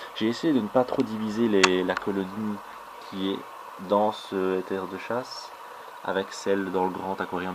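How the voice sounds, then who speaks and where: Moderate pace, fairly low male pitch and fairly even intonation, with noticeable background noise in the recording. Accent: Belgian. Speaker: ant keeping hobbyist video blogger. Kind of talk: casual commentary on ant colony footage. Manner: hesitant, frequent fillers; careful articulation.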